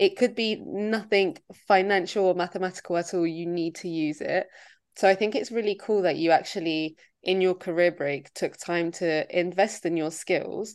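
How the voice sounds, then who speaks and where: A woman speaks in an ordinary speaking voice at medium pitch and a moderate pace. Her intonation is fairly even, and the background is quiet. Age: 20s. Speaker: podcast co-host. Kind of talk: casual chat.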